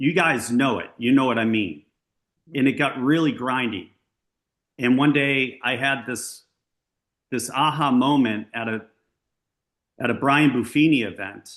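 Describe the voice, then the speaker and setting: A man with an American accent at a fairly slow pace, medium pitch with ordinary variation, long and frequent pauses, and a quiet background. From Massachusetts, Brockton area south of Boston. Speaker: luxury real estate agent. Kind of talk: coaching talk to agents on video call. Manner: animated.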